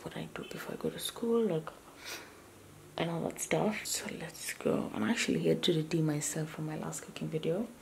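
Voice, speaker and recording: At a fairly quick pace, a woman whispers. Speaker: vlogger. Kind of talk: casual vlog narration.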